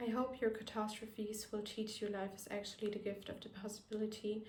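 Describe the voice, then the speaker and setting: The speaker talks at a moderate pace with a non-native accent, and the room echo is audible. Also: woman. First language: not English. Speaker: vlogger. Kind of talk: personal reflective monologue. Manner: careful, non-native pronunciation.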